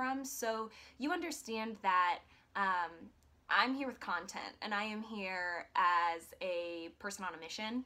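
A woman speaks with an American accent. Her tone is bright and sharp, and her intonation is lively. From US Midwest, Iowa. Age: 20s. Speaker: vlogger. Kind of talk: casual vlog monologue. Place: home room. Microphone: phone near.

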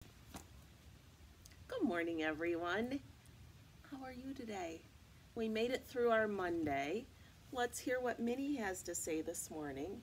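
A woman speaks at a very slow pace with very wide pitch swings. Light background noise can be heard. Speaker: teacher. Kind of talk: read-aloud storytime for children. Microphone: webcam.

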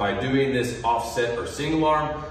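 Audible room echo and light background noise accompany a man talking at a moderate pace. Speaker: strength coach. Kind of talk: tutorial. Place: gym. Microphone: camera far.

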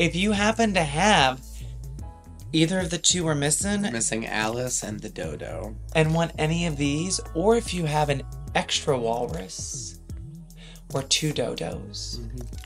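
Clear music plays in the background while the speech moves at a moderate pace. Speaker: pin collector co-host. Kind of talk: casual vlog chat. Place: home room.

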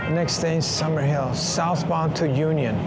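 Music plays in the background. The talking moves at a moderate pace. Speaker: cyclist vlogger. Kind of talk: casual vlog chat. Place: station. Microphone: phone near.

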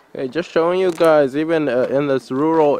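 There is noticeable background noise in this clip. Over it, a man talks. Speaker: travel vlogger. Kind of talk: vlog narration. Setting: on a train. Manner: hesitant, many fillers.

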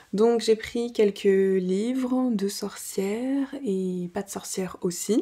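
In a quiet background, a woman talks at a very slow pace with ordinary pitch variation. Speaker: home vlogger. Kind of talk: casual vlog chat. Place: home room.

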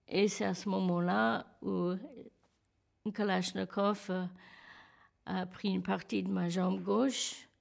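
A woman speaks with an English accent at a very slow pace. Her long pauses come often, against a quiet background. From California. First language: English (speaking French). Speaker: terror attack survivor. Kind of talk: testimony. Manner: halting. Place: studio.

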